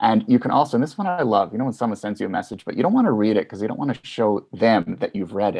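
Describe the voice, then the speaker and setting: A man with a Canadian accent, talking at a very fast pace with hardly any pauses. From Canada. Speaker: tech commentator. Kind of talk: radio interview.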